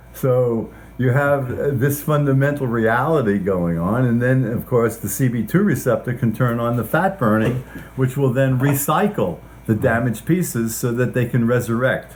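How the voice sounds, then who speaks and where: Somewhat breathy, this man speaks at a medium pitch and a moderate pace. His pitch varies in an ordinary way. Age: 70s. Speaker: scientist. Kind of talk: interview. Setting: at his home.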